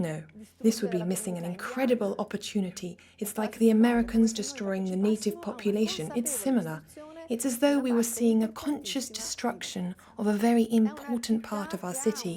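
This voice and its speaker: A woman talks at a fairly quick pace with a fairly high pitch and ordinary pitch variation. Noticeable background noise runs behind her. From Venice, Italy. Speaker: interviewee, Venetian resident. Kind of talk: interview.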